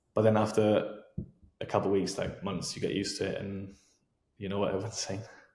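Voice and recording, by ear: A man's fairly low, slightly mellow voice at a fairly quick pace, with little pitch movement and audible room echo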